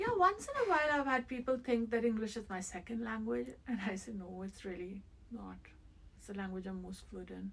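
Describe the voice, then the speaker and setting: A woman speaks at a fairly quick pace with an Indian accent. Her loudness swings widely over noticeable background noise. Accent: Indian English accent, unchanged. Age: 50s. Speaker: interviewee, immigrant mother. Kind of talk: interview.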